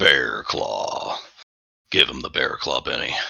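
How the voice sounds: Putting on a growling character voice, a man speaks at a fairly slow pace and an extremely high pitch.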